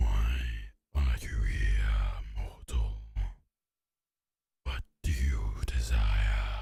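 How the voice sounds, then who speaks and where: A man uses a put-on character voice, pitched very deep and low. He speaks at a very slow pace with long, frequent pauses. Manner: menacing, imperious.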